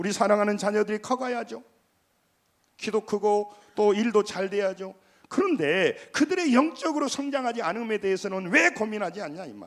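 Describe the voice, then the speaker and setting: With a Jeolla accent, a man speaks in an animated tone at a high pitch and fairly quick pace, his intonation lively and his loudness swinging widely. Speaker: pastor. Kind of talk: sermon. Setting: church.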